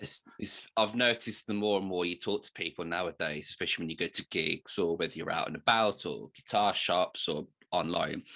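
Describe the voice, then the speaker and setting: Very deep and low in pitch, a man talks at a fairly quick pace with hardly any pauses, a bright, sharp tone and fairly even intonation. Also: dry, close sound with no echo. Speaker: podcast host. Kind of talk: casual chat.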